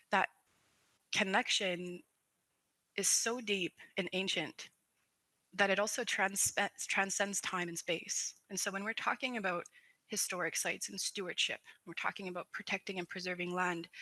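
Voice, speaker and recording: In a northern Canadian accent, a woman with a bright, sharp tone speaks at medium pitch and a moderate pace, with fairly even intonation, long, frequent pauses and a dry, close sound with no echo. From Dene community, northern Canada. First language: Dene language. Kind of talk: panel presentation.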